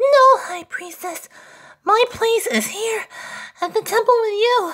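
A put-on character voice with an extremely high pitch moves at a fairly slow pace.

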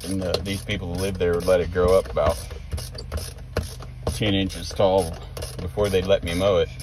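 A man speaks at a moderate pace, very deep and low in pitch, with ordinary pitch variation. The sound is dry with no echo, though noticeable background noise is present. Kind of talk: casual vlog chat. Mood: relaxed, reminiscing. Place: car. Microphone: phone near.

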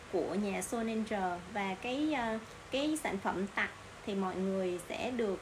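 A woman's voice at a very slow pace, with ordinary pitch variation and noticeable background noise. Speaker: online cosmetics seller. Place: shop. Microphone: phone near.

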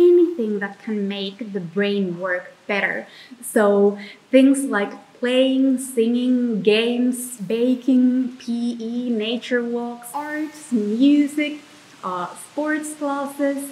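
A woman's high voice with a Finnish accent, very slow pace and ordinary pitch variation. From Finland. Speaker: vlogger. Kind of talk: explainer vlog. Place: home room.

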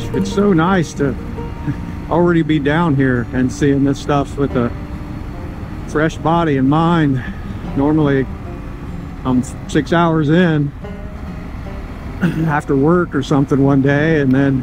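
Over clear music in the background, a man speaks at a fairly slow pace with long, frequent pauses. His intonation is fairly even and the sound is dry with no echo. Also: very even loudness. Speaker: motorcycle rider vlogger. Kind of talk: casual ride commentary. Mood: relaxed, enjoying the ride. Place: motorbike. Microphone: helmet.

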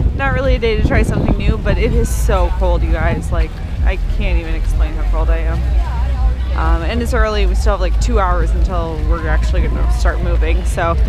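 Dry, echo-free sound with clear music playing in the background. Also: fairly quick pace. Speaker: vlogger runner. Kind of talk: casual vlog chat. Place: street. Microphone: phone near.

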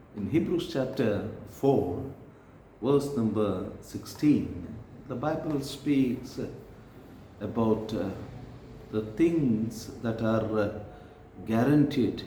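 A man is talking against noticeable background noise. The rise and fall of his pitch is ordinary. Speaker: preacher. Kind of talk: sermon. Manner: animated; fervent.

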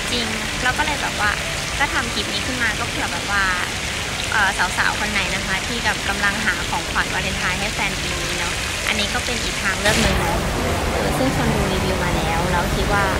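This woman's pitch varies in an ordinary way, with loud background noise behind her. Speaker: vlogger. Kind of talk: casual vlog chat. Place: market. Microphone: phone near.

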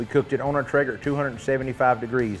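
Faint music plays in the background while the speaker talks at a moderate pace. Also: man. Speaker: host. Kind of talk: tutorial. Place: garden. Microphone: lapel.

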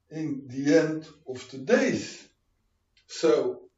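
There is audible room echo as a man speaks against a quiet background. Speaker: preacher, Bible teacher. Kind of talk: sermon, Bible teaching. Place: home room.

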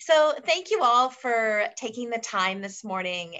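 The speaker talks at a fairly slow pace against a quiet background. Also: woman. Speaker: travel agency manager. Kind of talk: webinar hosting. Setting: video call. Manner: animated. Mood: cheerful, warm. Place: home room. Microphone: video call.

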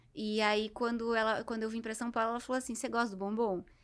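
Talking at a fairly quick pace, a woman has a fairly high pitch and a bright, sharp tone. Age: 30s. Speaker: psychologist. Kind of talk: interview.

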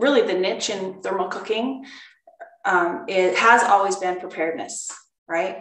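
Echo from the room can be heard. At a moderate pace, a woman is talking. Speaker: cooking class instructor. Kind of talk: online class talk. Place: kitchen. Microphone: webcam.

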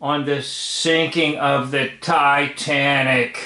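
Audible room echo surrounds a man speaking against a quiet background. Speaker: commentator. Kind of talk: casual video commentary. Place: home room. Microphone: phone near.

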